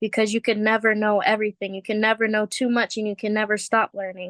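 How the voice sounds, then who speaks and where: Against a quiet background, a woman with a Guam accent speaks at a fairly high pitch, the sound dry and close with no echo. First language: Chamorro. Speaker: language student. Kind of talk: casual personal testimony. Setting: video call.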